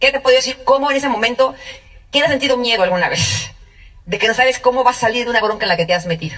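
The woman's pace is very fast and her pitch is high. Her pitch variation is ordinary. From central Mexico (Mexico City, State of Mexico). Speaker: network marketing speaker. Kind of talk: testimony.

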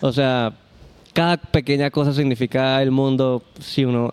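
A man speaks in a dry, close sound with no echo. His intonation stays monotone and flat. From Colombia. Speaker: band musician. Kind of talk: interview.

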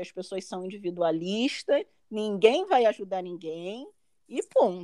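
With very wide pitch swings and a dark, mellow tone, a woman speaks at a fairly slow pace in a dry, close sound with no echo. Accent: Brazilian. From Brazil. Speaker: master's graduate living abroad. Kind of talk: interview.

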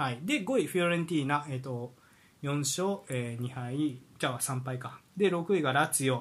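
This man has a fairly high pitch and sounds somewhat breathy. He talks at a moderate pace. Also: ordinary pitch variation. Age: 30s. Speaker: football podcast co-host. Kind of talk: casual chat. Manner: many fillers and hesitations.

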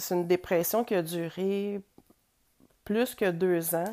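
This woman speaks at a very slow pace in a medium pitch, with a dark, mellow tone and fairly even intonation. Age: 40s. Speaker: podcast host. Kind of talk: personal monologue. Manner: hesitant.

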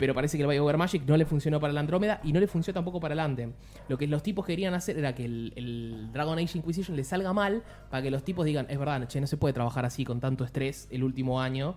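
A man talks at a very fast pace in a Rioplatense accent. His pitch is fairly high. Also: ordinary pitch variation. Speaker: podcast host. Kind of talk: casual chat.

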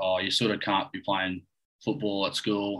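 In an Australian accent, a man with a fairly low pitch speaks at a moderate pace in a monotone, flat delivery with a bright, sharp tone. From Australia, central west New South Wales. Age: 20s. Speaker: professional golfer. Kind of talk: casual chat. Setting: video call.

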